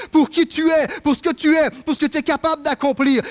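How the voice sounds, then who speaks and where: The voice belongs to a man. It sits at an extremely high pitch. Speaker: assistant pastor. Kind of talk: sermon; prayer. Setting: church. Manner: halting with repetitions.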